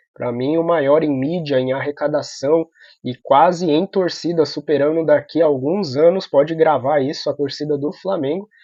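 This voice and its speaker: A soft-spoken man at a moderate pace, with fairly even intonation. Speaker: football news youtuber. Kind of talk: opinion vlog commentary. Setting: apartment at night. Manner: soft-spoken, quiet. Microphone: computer or phone mic, audio sometimes low.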